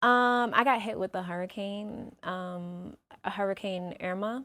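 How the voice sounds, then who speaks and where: A strong New York accent comes through in a bright, sharp tone at a very slow pace. The recording is very clean with a silent background. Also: woman. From New York (Brooklyn), then Atlanta from 12. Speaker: singer. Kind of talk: interview.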